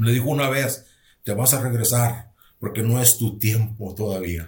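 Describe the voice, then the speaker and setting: The man's voice is somewhat breathy with lively intonation. He talks at a fairly slow pace. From northern Mexico, rural Nuevo León. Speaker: pastor. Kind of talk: testimony.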